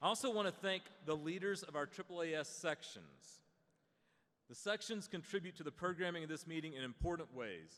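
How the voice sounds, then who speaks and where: The speaker has an American accent. The pace is fairly quick, with ordinary pitch variation. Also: man, high pitch for a man. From Western North Carolina. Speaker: association executive introducing a panel. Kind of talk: opening remarks. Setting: stage with audience. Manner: casual, conversational with hesitations.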